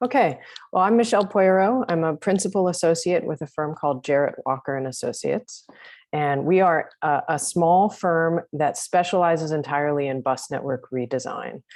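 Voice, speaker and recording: With an American accent and an ordinary speaking voice, a woman speaks at a fairly low pitch and a moderate pace, her intonation lively, against a quiet background. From United States. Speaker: transport planning consultant. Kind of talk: webinar presentation.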